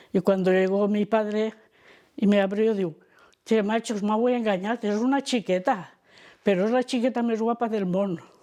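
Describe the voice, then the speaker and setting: Fairly high in pitch, a woman speaks. Her tone is dark and mellow. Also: fairly even intonation, moderate pace, very clean recording, silent background. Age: 80s+. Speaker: elderly daughter of a repression victim. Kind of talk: testimony.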